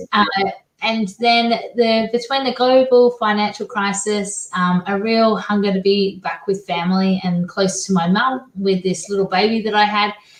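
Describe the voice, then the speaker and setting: The speaker has an Australian accent and a somewhat breathy voice. Intonation stays fairly even at a moderate pace. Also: woman, medium pitch for a woman. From Australia, Perth. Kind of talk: interview.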